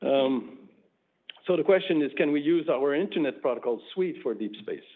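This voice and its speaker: A man speaks with a French-Canadian accent. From Quebec. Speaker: network engineer presenting at a conference. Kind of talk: conference talk. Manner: hesitant, many fillers.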